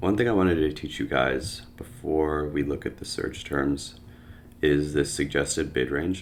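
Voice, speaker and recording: Moderately paced speech from a man, very deep and low in pitch, with ordinary pitch variation. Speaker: online business educator. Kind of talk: screen-share tutorial. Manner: casual, filler-heavy.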